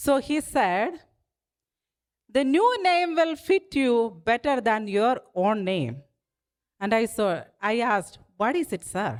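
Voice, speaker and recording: A woman speaks at a very slow pace with long, frequent pauses. Her fairly high pitch makes very wide swings. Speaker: political candidate. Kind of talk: campaign speech. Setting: stage with dinner audience. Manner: humorous, conversational.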